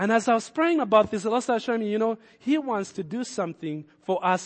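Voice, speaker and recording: A man with a non-native accent and very wide pitch swings. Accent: foreign-accented English. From another country, moved as adult. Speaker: pastor. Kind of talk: sermon. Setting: church. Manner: hesitant, repeats words.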